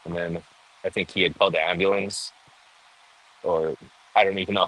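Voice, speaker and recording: A man with a fairly low pitch. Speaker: cannabis cultivator. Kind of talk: interview answer. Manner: soft-spoken.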